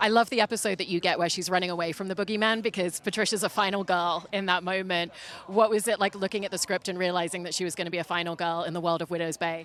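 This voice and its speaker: In an American accent, a woman talks at a very fast pace with hardly any pauses. Her pitch sits at a medium level for a woman, and her intonation stays fairly even. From Britain. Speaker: entertainment interviewer. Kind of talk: interview.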